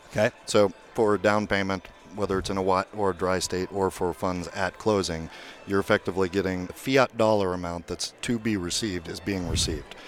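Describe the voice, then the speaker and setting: Over music in the background, a man with a very deep, low voice speaks at a fairly quick pace with fairly even intonation. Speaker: fintech company founder. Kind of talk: interview.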